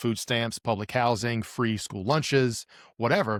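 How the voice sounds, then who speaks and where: On a very clean recording with a silent background and a dry, close sound with no echo, a man speaks at a medium pitch and a moderate pace. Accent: Appalachian. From Appalachia (US). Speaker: psychologist turned business founder. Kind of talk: podcast interview. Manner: casual, animated.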